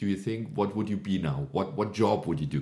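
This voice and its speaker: A man speaks at a fairly low pitch with very wide pitch swings, a dark, mellow tone and a somewhat breathy quality. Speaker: podcast host. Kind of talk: bilingual interview. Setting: small studio. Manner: hesitant with fillers.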